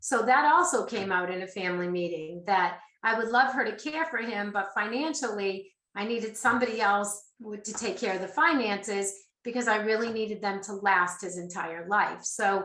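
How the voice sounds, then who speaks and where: A woman speaks in a bright, sharp tone with a slight Boston accent. Her intonation is lively. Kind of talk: webcast presentation.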